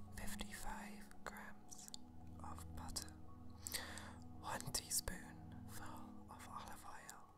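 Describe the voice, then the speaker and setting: Every word is whispered. The pace crawls very slowly. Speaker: ASMR recipe reader. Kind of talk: ASMR reading of a cookbook recipe. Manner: soft, hushed ASMR reading voice. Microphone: phone near.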